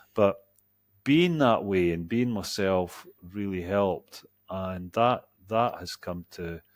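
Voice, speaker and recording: Speaking very slowly with a Scottish accent, a man of fairly low pitch shows ordinary pitch variation and big swings in loudness on a very clean recording with a silent background. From Scotland. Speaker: executive coach. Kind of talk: interview.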